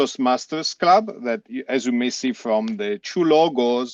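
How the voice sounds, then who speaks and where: Dry and close with no echo, a man speaks fairly slowly with lively intonation over a quiet background. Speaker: club member. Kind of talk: panel discussion.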